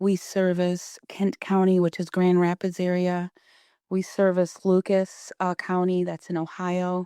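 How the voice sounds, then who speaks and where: Soft-spoken and very slow, a woman talks at a medium pitch in a dark, mellow tone with a dry, close sound and no echo. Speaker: founder of a paper wreath company, entrepreneur. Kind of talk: podcast interview answer.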